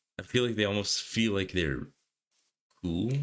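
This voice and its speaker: A man's very deep, low voice moves along at a moderate pace. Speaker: gaming youtuber. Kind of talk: casual gameplay commentary. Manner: rambling, hesitant.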